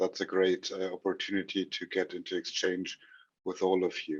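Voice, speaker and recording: The speaker is a man. He speaks with a German accent. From Germany. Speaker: trainer and speaker. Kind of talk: lecture. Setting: video call. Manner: halting.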